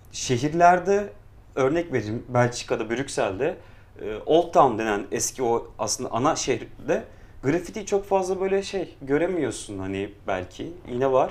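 A man's fairly high voice, fairly slow pace and very wide pitch swings. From Istanbul, Kurtuluş. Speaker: street artist and illustrator. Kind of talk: casual chat.

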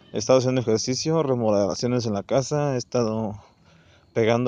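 This man speaks with a Mexican accent and fairly even intonation. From Mexico. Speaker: podcaster. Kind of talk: casual monologue. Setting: outdoors, walking. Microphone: phone recording.

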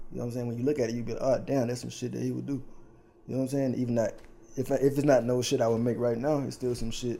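Flat and monotone, a man with an American accent and a dark, mellow tone speaks at a very fast pace. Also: medium pitch for a man. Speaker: clothing designer. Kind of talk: casual chat.

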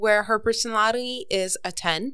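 A woman with a Montreal accent, very slow in pace, with ordinary pitch variation. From Montreal West Island, Canada. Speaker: guest. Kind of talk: casual chat.

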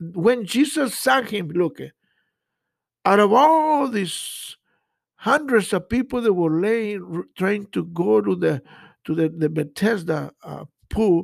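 At a very slow pace and with long, frequent pauses, a man with a Spanish accent speaks at a high pitch with very wide pitch swings, on a very clean recording with a silent background. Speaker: pastor. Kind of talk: sermon. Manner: halting, frequent repetitions.

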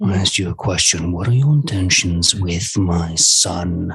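In a growling, put-on character voice, the speaker talks at a moderate pace with ordinary pitch variation. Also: man, very deep, low pitch for a man. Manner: threatening, demanding.

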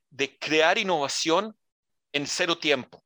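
A man's bright, sharp voice at a fairly slow pace, dry and close with no echo, on a very clean recording with a silent background. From Israel, born in Santiago de Chile. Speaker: emergency services director. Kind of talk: interview.

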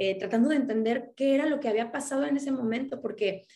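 A woman's dark, mellow voice in a Mexican accent, with ordinary pitch variation. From Mexico. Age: 30s. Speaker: akashic records reader. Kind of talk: interview. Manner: halting.

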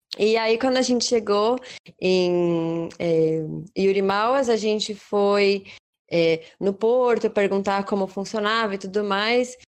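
A woman's medium-pitched voice at a very slow pace, with ordinary pitch variation and very even loudness. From Brazil. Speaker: traveller and artisan. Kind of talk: casual interview.

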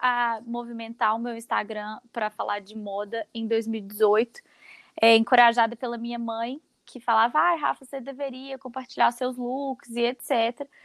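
A woman's fairly high voice at a fairly slow pace, with fairly even intonation and dry, close sound with no echo. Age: 20s. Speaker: fashion content creator. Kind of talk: casual interview.

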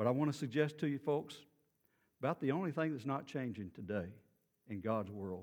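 Speaking in a Texan accent with lively intonation, a man keeps a moderate pace broken by long, frequent pauses. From Texas, Beaumont. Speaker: pastor. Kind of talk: sermon. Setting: church.

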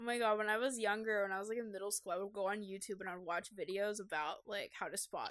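A woman's fairly high-pitched voice at a very fast pace. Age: 20s. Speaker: podcast co-host. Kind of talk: casual chat.

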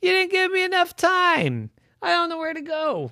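A woman uses a put-on character voice that is squeaky and extremely high. She speaks at a moderate pace. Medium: read story.

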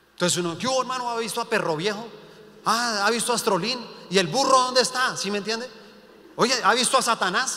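An extremely high-pitched man raises and projects his voice in an animated tone, with noticeable background noise and audible room echo. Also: ordinary pitch variation, fairly quick pace. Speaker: pastor. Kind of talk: sermon.

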